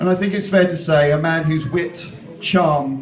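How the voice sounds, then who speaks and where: A man with an English accent speaks at a high pitch with fairly even intonation and a moderate pace. Audible room echo and noticeable background noise surround him. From England. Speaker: wedding MC. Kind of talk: wedding speech. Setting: stage with audience.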